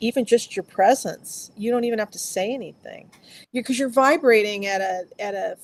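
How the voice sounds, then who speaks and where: A woman speaks with ordinary pitch variation. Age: 60s. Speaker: filmmaker. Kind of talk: casual chat. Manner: halting.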